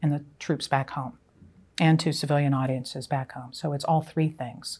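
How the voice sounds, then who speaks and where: Speaking at a moderate pace with an American accent, the voice keeps a fairly even intonation. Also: woman. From western Pennsylvania, US (small rural town). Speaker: retired army general and author. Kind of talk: interview monologue. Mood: calm, reflective. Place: home room. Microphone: lapel.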